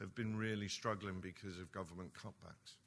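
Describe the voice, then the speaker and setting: A man with an East End London accent talks at a fairly quick pace. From East London. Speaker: nuclear industry executive. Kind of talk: conference speech. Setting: conference hall with audience. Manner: animated.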